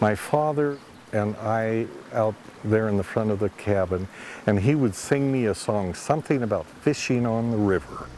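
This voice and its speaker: Over noticeable background noise, a man with an American accent talks at a moderate pace in a fairly low pitch. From Montana. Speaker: local history narrator. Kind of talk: reminiscing narration.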